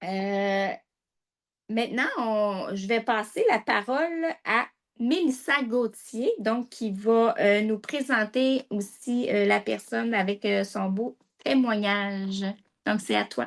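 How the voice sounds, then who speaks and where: A woman's fairly high voice in a Quebec accent, very slow in pace, over a quiet background. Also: ordinary pitch variation. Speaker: health presenter. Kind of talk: informational talk.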